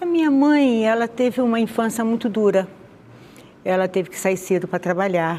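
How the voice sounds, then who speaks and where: A woman with a Rio de Janeiro accent speaks at a moderate pace, with lively intonation and a fairly high pitch. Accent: carioca. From Rio de Janeiro, Madureira. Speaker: interviewee sharing conversion testimony. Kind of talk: testimony interview.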